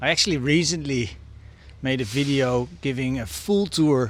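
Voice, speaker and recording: Lively intonation rings out against audible room echo. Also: man. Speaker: travel vlogger. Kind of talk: vlog monologue. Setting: outdoors, walking on temple grounds. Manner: soft-spoken.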